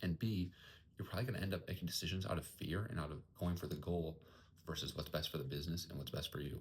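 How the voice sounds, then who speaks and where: A man speaks quietly at a very fast pace, his very deep, low voice somewhat breathy. His pitch varies in an ordinary way. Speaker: entrepreneur vlogger. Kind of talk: casual vlog monologue. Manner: quiet, kept down.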